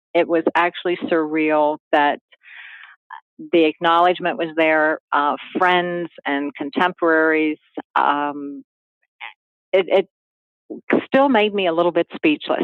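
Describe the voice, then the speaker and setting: Speaking at a fairly slow pace with a slight Carolina accent, a woman uses ordinary pitch variation and takes long, frequent pauses. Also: fairly low pitch for a woman. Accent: slight Carolinian Southern. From Maryland. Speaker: private club executive. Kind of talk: interview. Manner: halting.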